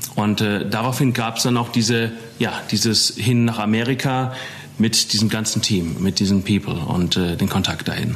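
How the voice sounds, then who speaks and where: A man at a moderate pace, with very even loudness, fairly even intonation and noticeable background noise. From Germany, Taunus (Hesse). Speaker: rock musician. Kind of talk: casual interview chat.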